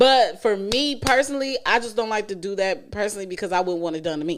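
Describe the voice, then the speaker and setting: Recorded very cleanly against a silent background, this voice has an animated tone, very wide pitch swings and a moderate pace. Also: woman. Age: 30s. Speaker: podcast host. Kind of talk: casual chat.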